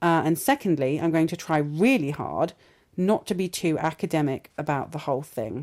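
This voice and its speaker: A woman with a British accent speaks at a very deep, low pitch with lively intonation. The recording is very clean, with a silent background. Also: moderate pace. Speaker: academic podcast host. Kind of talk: interview. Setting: theatre venue.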